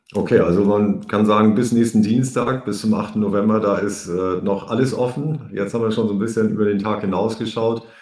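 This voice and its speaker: Against noticeable background noise, a man with a fairly low pitch talks at a fairly quick pace with hardly any pauses and fairly even intonation. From Germany. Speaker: podcast host, economist. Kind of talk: interview.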